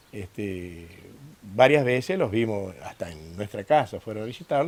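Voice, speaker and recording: This man's intonation is lively. His pitch is fairly low. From northern Santa Fe, Argentina. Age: 60s. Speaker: former company worker, interviewee. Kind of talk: documentary interview. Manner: hesitant, many fillers.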